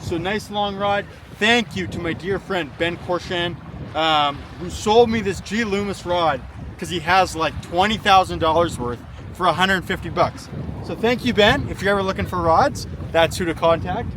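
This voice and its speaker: At a moderate pace, a man with a high pitch talks with ordinary pitch variation amid noticeable background noise. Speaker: fishing vlogger and guide. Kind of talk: casual outdoor vlog and tutorial. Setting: outdoors by a lake. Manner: quiet, holding back volume.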